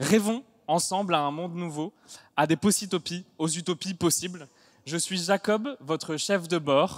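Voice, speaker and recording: In a very clean recording with a silent background and a dry, close sound with no echo, the speech moves at a fairly slow pace with ordinary pitch variation. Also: man, high pitch for a man. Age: 30s. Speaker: stand-up comedian. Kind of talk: stage show introduction. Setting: stage with audience.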